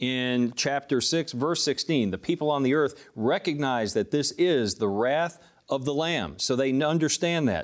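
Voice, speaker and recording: At a fairly slow pace with hardly any pauses, a man uses a normal speaking voice of fairly high pitch, with ordinary pitch variation and very even loudness, on a very clean recording with a silent background. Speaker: ministry teacher, co-host. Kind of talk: studio Q&A panel discussion. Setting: TV studio.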